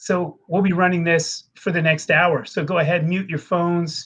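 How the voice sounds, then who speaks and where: The man talks at a fairly slow pace. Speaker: webinar host, e-commerce expert at a bookkeeping firm. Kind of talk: live webinar introduction. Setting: live online stream. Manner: loud.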